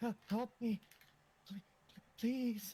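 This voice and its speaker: The put-on character voice has a fairly high pitch. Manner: pleading.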